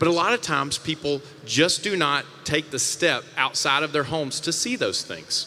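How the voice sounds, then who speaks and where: Over noticeable background noise, a man with a Mississippi accent talks at a moderate pace with lively intonation. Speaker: panel moderator. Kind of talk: panel discussion. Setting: stage with audience.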